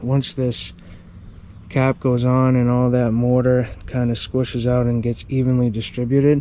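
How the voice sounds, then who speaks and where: At a moderate pace, a man speaks with a medium pitch and a dark, mellow tone. His intonation is monotone and flat. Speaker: hardscaping contractor. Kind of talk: casual on-the-job tutorial. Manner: loud.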